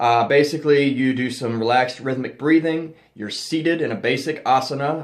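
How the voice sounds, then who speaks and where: Noticeable background noise sits behind a man's voice. He speaks at a moderate pace with fairly even intonation. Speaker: occult youtuber teaching ritual magick. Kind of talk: tutorial. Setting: home temple room. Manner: casual with many fillers.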